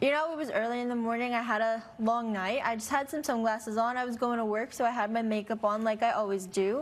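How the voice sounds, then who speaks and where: With audible room echo, a woman talks at a very fast pace in a fairly high pitch, with fairly even intonation and hardly any pauses. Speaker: court show litigant. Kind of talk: courtroom testimony.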